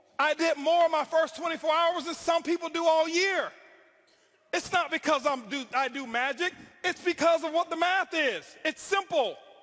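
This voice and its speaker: A man with an extremely high pitch shouts loudly in an animated tone with ordinary pitch variation. He keeps a moderate pace. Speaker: network marketing speaker. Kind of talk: motivational speech. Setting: stage with audience. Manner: loud, yelling.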